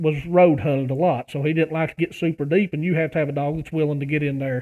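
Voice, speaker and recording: Very fast, fairly high-pitched male voice with an Appalachian accent and fairly even intonation. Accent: Appalachian American. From West Virginia. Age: 30s. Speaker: pastor and hunting YouTuber. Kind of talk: casual interview chat. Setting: phone call.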